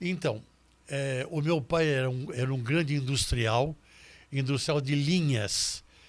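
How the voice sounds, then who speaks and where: In a very clean recording with a silent background, a man with a fairly high pitch and ordinary pitch variation speaks at a very slow pace. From Brazil, São Paulo city. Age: 80s+. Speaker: criminal lawyer and jury advocate. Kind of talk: interview conversation.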